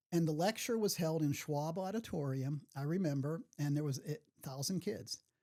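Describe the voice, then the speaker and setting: A man's dark, mellow, fairly high voice in a Pittsburgh accent, with ordinary pitch variation and a moderate pace. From Pittsburgh, South Hills. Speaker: retired veterinarian and camp volunteer. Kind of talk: interview conversation. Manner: halting, many fillers and restarts.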